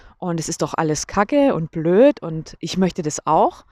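Dry and close with no echo, a woman's unremarkable speaking voice moves at a moderate pace with lively intonation. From Germany. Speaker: podcaster. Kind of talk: casual monologue. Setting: outdoors on a walk. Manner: casual, with fillers.

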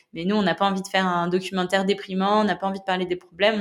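At a very fast pace, a woman speaks with flat, monotone intonation and a medium pitch. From western France, La Rochelle. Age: 20s. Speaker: ocean conservation activist and documentary maker. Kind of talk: casual interview. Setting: at her home in La Rochelle.

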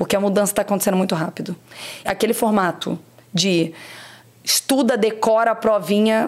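A woman with a medium pitch speaks at a fairly quick pace, with ordinary pitch variation. Her loudness stays very even, broken by long, frequent pauses. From Brazil, Rio de Janeiro state interior (Barra Mansa). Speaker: marketing executive. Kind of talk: interview. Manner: energetic.

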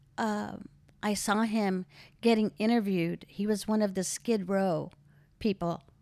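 A woman with an American accent and a medium pitch speaks in a dark, mellow tone with monotone, flat intonation and long, frequent pauses, in a very clean recording with a silent background. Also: fairly slow pace. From Philippines, then California. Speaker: host's mother. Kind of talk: casual interview about her life.

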